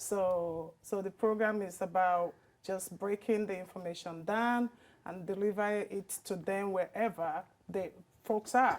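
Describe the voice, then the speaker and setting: A woman speaks at a medium pitch with fairly even intonation. The recording is very clean, the background silent. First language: a language other than English. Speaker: project lead consultant. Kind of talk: interview. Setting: studio.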